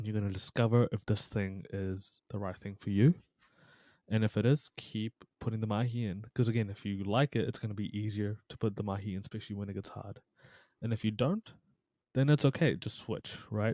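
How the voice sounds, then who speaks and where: A man with a New Zealand accent speaks at a fairly quick pace in a fairly low pitch with a dark, mellow tone. His intonation stays fairly even, and the recording is very clean with a silent background. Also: dry, close sound with no echo. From New Zealand (Taranaki), immigrant from Pakistan. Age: 20s. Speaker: psychology content creator, former personal trainer teacher. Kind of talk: casual podcast chat.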